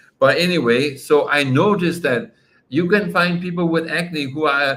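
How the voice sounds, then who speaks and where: At a fairly slow pace, a man talks in a high voice with ordinary pitch variation. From Denmark. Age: 60s. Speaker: doctor. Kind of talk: live-stream Q&A. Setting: live stream.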